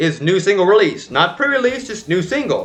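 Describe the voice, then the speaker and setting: A man speaks loudly in a high pitch with very wide pitch swings while music plays in the background. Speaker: K-pop reaction YouTuber. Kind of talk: casual vlog commentary. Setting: home apartment. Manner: animated.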